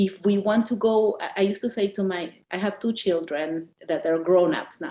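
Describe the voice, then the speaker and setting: With a strong Argentine accent, a woman talks at a moderate pace in a medium-pitched voice with a dark, mellow tone and ordinary pitch variation. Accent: Argentinian accent, still strong. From Argentina. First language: Spanish. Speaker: author. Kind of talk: interview. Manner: halting, with many fillers.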